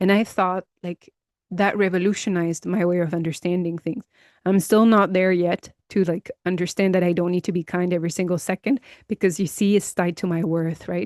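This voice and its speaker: In a normal speaking voice, a woman talks at a fairly quick pace with fairly low pitch and fairly even intonation, the sound dry and close with no echo against a quiet background. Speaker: empowerment coach for high achieving women. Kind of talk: personal reflection podcast to camera. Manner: conversational, reflective, with frequent fillers.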